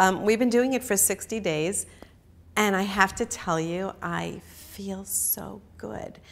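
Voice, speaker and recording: A woman speaks at a very slow pace with vocal fry. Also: medium pitch for a woman, ordinary pitch variation. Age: 60s. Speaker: customer testimonial speaker. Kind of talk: testimony. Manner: casual, chatty with many fillers.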